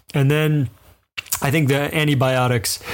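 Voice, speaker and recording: Here is a man with an unremarkable speaking voice. He talks at a moderate pace with ordinary pitch variation. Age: 40s. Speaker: podcast co-host. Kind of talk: casual chat.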